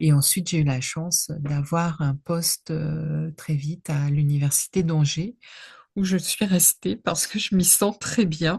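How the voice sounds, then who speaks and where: A woman speaks at a very slow pace in a very deep, low, somewhat breathy voice. The sound is dry and close, with no echo. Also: ordinary pitch variation. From northern France (Nord). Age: 60s. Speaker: history professor. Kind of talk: interview. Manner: halting, many hesitations.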